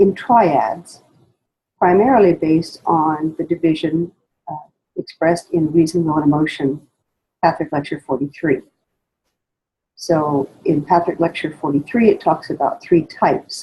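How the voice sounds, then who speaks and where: A woman speaks at a moderate pace with fairly low pitch, a dark, mellow tone, some breathiness, ordinary pitch variation, and long, frequent pauses. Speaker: spiritual study guide teacher. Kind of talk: spoken lecture introduction. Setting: poor sound quality recording.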